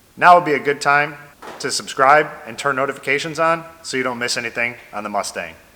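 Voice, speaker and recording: Noticeable background noise is present. The speaker's intonation is lively. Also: man. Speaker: car builder, channel owner. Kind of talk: video build log narration.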